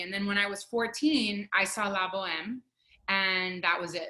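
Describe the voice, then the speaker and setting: In a bright, sharp tone, a woman with a fairly high voice speaks at a moderate pace. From Miami, Florida (Cuban-American family). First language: Spanish. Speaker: opera singer. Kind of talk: interview.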